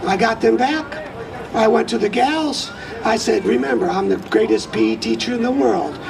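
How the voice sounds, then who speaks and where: The speech runs at a moderate pace. Audible room echo and crowd noise in the background are heard. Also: man. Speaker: political candidate. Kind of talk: campaign speech.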